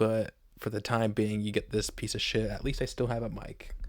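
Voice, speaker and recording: A soft-spoken man is captured in a very clean recording with a silent background. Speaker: MMA YouTuber. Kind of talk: casual fight picks monologue. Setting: home recording on laptop. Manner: quiet, talking softly; hesitant, many ums.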